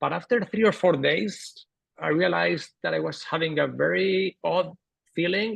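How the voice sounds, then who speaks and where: A man is speaking. He has a Spanish accent. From Spain. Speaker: author and entrepreneur. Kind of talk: interview.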